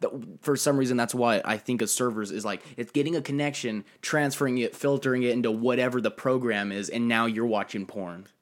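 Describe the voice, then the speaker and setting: An unremarkable speaking voice, a man talks at a fairly quick pace and medium pitch with ordinary pitch variation and hardly any pauses, on a very clean recording with a silent background. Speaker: guest. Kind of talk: casual chat.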